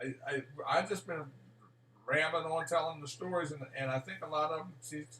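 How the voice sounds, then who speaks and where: Amid noticeable background noise, a man talks with fairly even intonation and long, frequent pauses. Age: 60s. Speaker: son visiting his mother in a nursing home. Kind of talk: casual chat. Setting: video call.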